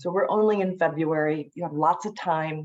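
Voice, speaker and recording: A woman's very deep, low pitch with ordinary pitch variation, at a fairly slow pace. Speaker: admissions counselor. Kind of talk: informational webinar. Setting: video call. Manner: slow, deliberate.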